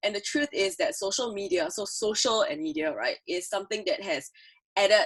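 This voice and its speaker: The voice is loud and animated, with very wide swings in pitch. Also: woman. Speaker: creative producer, conference speaker. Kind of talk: conference talk.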